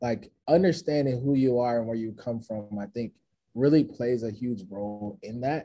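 A man's dark, mellow voice at medium pitch and a fairly slow pace. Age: 30s. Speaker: motivational speaker. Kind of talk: casual chat.

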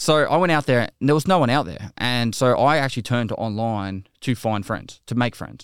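A man speaks with an Australian accent at a medium pitch and with ordinary pitch variation. The recording is very clean and dry, close up with no echo and a silent background. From Australia, Geelong, Victoria. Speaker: video game streamer, army veteran. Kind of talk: casual interview.

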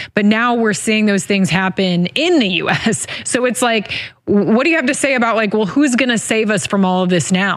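A woman with an unremarkable speaking voice, fairly high in pitch, lively in intonation, very even in loudness, at a moderate pace with hardly any pauses. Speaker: interviewer. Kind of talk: interview.

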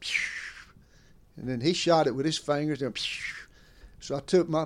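The speaker uses a Southern US accent with ordinary pitch variation. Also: man. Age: 70s. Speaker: veteran bowhunter. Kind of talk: casual chat. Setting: at home.

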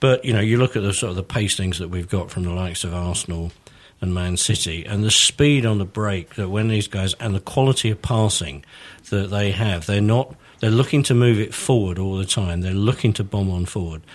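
Speaking at a fairly quick pace, a man with an unremarkable speaking voice sits fairly low in pitch and uses ordinary pitch variation. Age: 60s. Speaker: author and football fan. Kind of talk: casual chat.

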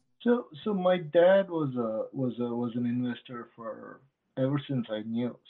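A man with a plain, everyday voice, medium pitch, lively intonation and a moderate pace. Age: 50s. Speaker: investor. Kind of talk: podcast interview.

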